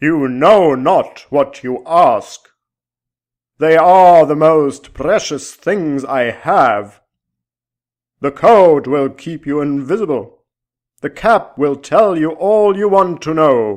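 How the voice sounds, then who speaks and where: A booming, put-on character voice from a man, fairly high in pitch, at a very slow pace against a quiet background. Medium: read story. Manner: archaic, formal speech.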